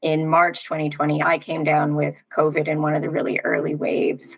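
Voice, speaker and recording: Her voice is very deep and low for a woman. She has an American accent. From United States. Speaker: long covid recovery coach, economist. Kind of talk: interview, personal story.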